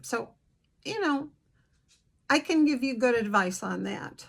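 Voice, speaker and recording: Ordinary pitch variation in a fairly high female voice. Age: 60s. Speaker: counselor and video blogger. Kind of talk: casual introductory vlog. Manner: conversational with hesitations.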